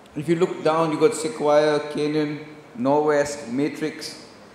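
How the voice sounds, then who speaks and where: Audible room echo and noticeable background noise surround a man whose voice has a fairly high pitch. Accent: Indian. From India. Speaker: venture capital investor. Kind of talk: conference presentation. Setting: stage with audience. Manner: fast.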